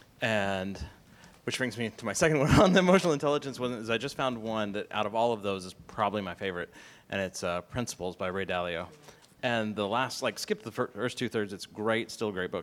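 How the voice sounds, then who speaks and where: A man talks in an ordinary speaking voice at a fairly low pitch. His pace is fairly quick, with ordinary pitch variation. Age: 30s. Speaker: video production company founder. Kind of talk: panel discussion. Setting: live event with audience.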